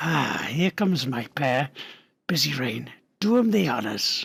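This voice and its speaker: Using a put-on character voice, a man speaks raspily at a fairly slow pace, his pitch swinging very widely. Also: fairly high pitch for a man. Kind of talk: archaic fantasy dialogue. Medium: read story. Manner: boisterous, mocking.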